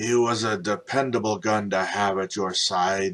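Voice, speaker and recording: The speaker uses a put-on character voice and moves at a moderate pace. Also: man. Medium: read story. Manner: blustering.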